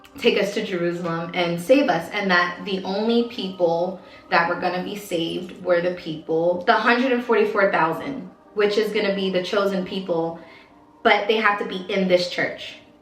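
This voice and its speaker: In an American accent, a woman talks with ordinary pitch variation, with audible room echo and noticeable background noise. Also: medium pitch for a woman, moderate pace. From Baltimore, Maryland, US. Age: 30s. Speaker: former cult member, vlogger. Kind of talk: personal testimony. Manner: casual, hesitant with fillers.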